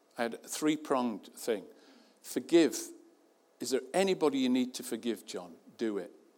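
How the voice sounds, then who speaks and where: Lively intonation from a man with a medium pitch, moderate pace, and long, frequent pauses. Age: 60s. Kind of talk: sermon. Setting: church.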